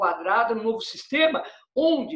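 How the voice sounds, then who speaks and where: A man's extremely high voice at a fairly slow pace. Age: 60s. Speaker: pizza maker and pizzeria owner. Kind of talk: interview. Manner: halting, many fillers.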